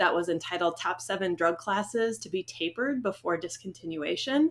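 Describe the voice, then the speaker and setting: Woman's medium-pitched voice at a moderate pace. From US Midwest, Iowa. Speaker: veterinarian and podcast host. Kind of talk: podcast conversation. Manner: casual, many fillers.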